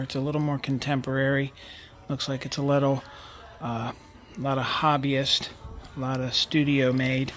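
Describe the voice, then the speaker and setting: Faint music plays in the background as a man speaks in a flat monotone. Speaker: vintage reseller. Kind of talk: casual vlog chat. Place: shop. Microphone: phone near.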